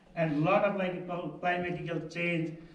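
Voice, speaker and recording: A man speaks at a high pitch with audible room echo. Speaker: goat farmer. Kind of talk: panel discussion. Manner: halting, many fillers.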